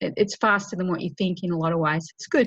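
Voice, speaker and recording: Against a quiet background, a woman with an Australian accent sounds somewhat breathy. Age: 50s. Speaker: women's advocate and writer. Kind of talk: interview.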